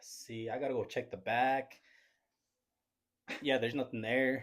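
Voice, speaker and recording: A flat, monotone delivery broken by long, frequent pauses. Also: man. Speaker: podcast guest, vendor. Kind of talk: casual chat.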